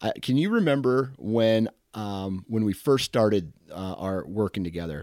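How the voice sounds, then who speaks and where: Here a man has an unremarkable speaking voice at a fairly low pitch, with ordinary pitch variation and a moderate pace. The very clean recording has a silent background and a dry, close sound with no echo. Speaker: hunting podcast host. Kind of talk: casual interview.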